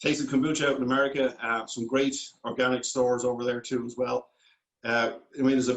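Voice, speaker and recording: A man with a Dublin accent. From Ireland, Dublin. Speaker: food company founder. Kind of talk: interview.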